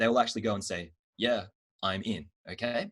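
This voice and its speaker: A man with an Australian accent and a medium pitch. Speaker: marketing trainer. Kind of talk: online training workshop. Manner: fast.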